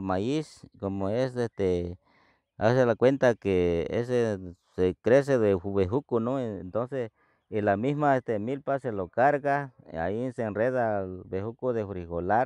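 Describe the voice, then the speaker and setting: Dark and mellow in tone, a man speaks at a very slow pace with ordinary pitch variation. The sound is dry with no echo. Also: quiet background. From Sierra Sur, Oaxaca, Mexico. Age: 60s. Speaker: farmer. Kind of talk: interview answer. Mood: calm, friendly.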